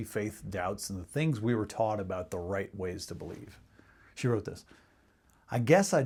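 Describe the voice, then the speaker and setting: Pitch varies in an ordinary way in this somewhat breathy voice. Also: man. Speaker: pastor / faith-community sermon speaker. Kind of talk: short sermon to camera.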